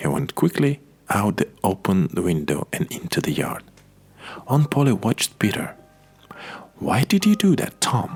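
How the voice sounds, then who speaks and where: Soft-spoken and fairly slow, a man talks with very wide pitch swings and long, frequent pauses over music in the background. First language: Russian. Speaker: Russian-speaking voice actor and narrator. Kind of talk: audiobook reading of a simplified classic novel, ASMR. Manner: soft-spoken, very quiet.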